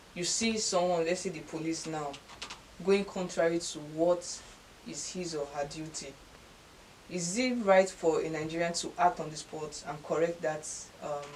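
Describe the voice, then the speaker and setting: Against noticeable background noise, a woman with a fairly low pitch talks at a moderate pace with fairly even intonation, big swings in loudness, and long, frequent pauses. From Nigeria. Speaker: talk show host. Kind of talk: interview question. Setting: studio. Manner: occasionally stuttering.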